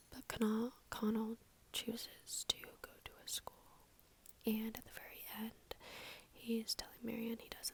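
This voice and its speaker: A woman whispers at a moderate pace. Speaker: book reviewer. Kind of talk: ASMR book review. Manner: whispered, soft-spoken.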